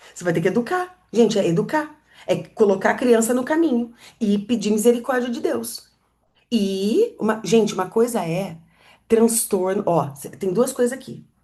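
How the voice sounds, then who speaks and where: A woman's somewhat breathy voice, fairly high in pitch with a dark, mellow tone, lively intonation and big swings in loudness. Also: moderate pace. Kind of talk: teaching talk to live audience.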